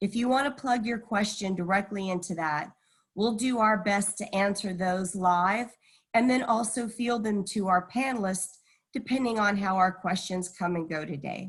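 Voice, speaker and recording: Speaking with an American accent, a woman has a medium pitch and ordinary pitch variation. Her voice is somewhat breathy. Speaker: university event moderator. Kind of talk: webinar hosting.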